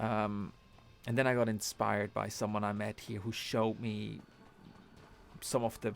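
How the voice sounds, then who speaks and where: A man speaks with a non-native accent in a fairly low pitch. His intonation is monotone and flat. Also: very clean recording, silent background. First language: not English. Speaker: gaming streamer. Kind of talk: live game stream commentary. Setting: live stream. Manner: halting, many restarts and fillers.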